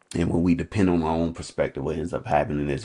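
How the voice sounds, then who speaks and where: A man talks at a very fast pace with a very deep, low pitch and vocal fry. His tone is dark and mellow, with ordinary pitch variation. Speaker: coach sharing faith reflections. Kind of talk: unscripted devotional talk. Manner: halting, with ums and repetitions; casual, conversational.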